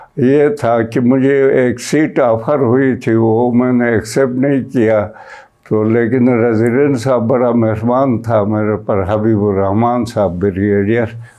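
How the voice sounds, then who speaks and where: Noticeable background noise sits behind a man at a medium pitch with ordinary pitch variation. His loudness stays very even. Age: 80s+. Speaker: lawyer. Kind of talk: interview answer.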